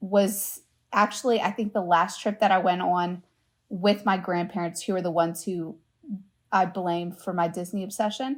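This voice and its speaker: In an American accent, a woman speaks at a medium pitch and a moderate pace. Hers is an unremarkable speaking voice. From US South, Louisiana. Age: 20s. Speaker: travel agent. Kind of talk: casual chat.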